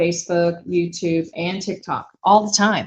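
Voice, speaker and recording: Somewhat breathy, a woman talks at a moderate pace in a fairly low pitch. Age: 60s. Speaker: small business owner and furniture refinisher. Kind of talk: casual livestream chat.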